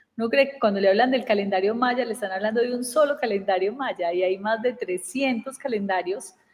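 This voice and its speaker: With an Antioquian accent, a woman talks at a fairly quick pace and a fairly high pitch, with ordinary pitch variation and hardly any pauses. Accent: Antioquian Colombian Spanish (paisa). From Colombia, Antioquia (Medellín, southwest rural area). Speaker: communication and personal development coach. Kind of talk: casual chat.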